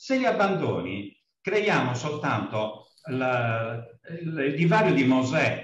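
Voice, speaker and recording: Very slow speech with very wide pitch swings, audible room echo and light background noise. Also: man, medium pitch for a man. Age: old. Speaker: course participant; speaker. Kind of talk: class discussion. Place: office. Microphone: video call.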